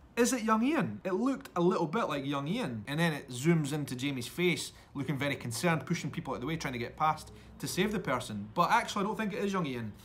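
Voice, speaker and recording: Talking at a very fast pace with hardly any pauses, a man with a Scottish accent uses a fairly high pitch and very wide pitch swings. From Edinburgh, Scotland. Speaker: YouTube vlogger, podcast host. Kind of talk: casual podcast talk.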